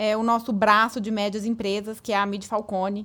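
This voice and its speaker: This woman speaks with a strong Minas Gerais accent at a fairly high pitch. The recording is very clean, with a silent background. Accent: strong Minas Gerais (mineiro). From Brazil, Minas Gerais (Patos de Minas). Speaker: business consultant. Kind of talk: podcast interview.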